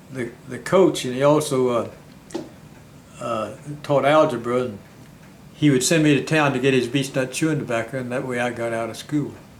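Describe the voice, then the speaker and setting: With a Southern US accent, a man speaks at a moderate pace with long, frequent pauses and audible room echo. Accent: Southern American. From US South. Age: 90s. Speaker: war veteran and retired county clerk. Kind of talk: interview.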